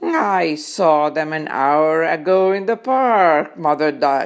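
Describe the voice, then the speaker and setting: Using a put-on character voice, a woman speaks very slowly in a very deep, low pitch. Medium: read story. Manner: calm, reassuring.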